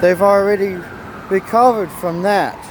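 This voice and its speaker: A man speaks loudly at a very slow pace, high-pitched with ordinary pitch variation. Noticeable background noise sits behind him. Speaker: survivalist vlogger. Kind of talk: casual vlog talk to camera. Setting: outdoors on city street.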